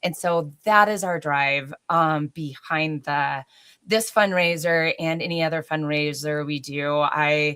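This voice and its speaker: Very slowly, a woman speaks at a very deep, low pitch with fairly even intonation. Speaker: adaptive sports organizer and volunteer. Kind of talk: interview.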